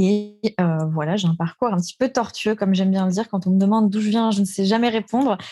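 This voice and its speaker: A woman of medium pitch speaks at a fairly quick pace, somewhat breathy with a dark, mellow tone, fairly even intonation, very even loudness and hardly any pauses. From France, Alsace. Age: 30s. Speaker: real estate investor. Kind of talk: interview.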